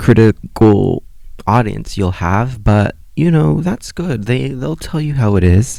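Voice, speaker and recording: Very slowly, a man speaks in a dark, mellow tone at a fairly low pitch, his pitch swinging very widely. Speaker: podcast host. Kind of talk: casual monologue. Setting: home recording, on bedroom floor. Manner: stutters when nervous on camera; hesitant, many fillers.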